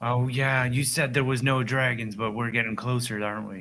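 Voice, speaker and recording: A man puts on a character voice at a medium pitch. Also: moderate pace. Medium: actual play.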